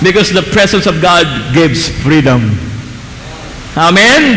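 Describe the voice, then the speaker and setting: Noticeable background noise and audible room echo around a man talking at a fairly slow pace. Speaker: pastor. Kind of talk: sermon. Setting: church.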